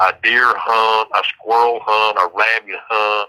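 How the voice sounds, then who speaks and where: A man with a strong Southern US accent talks at a fairly low pitch with monotone, flat intonation. The sound is dry and close, with no echo. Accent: strong rural Southern country. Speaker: death row inmate. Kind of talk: casual chat. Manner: halting, repeats words.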